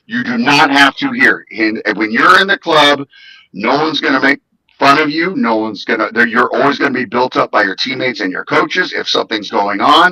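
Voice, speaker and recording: Fairly quick speech from a man with a fairly high pitch and very wide pitch swings, dry and close with no echo. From US, Southern California then moved around, incl. Papua New Guinea and Dallas. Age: 50s. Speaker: volleyball club founder and coach. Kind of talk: podcast interview. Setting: live podcast.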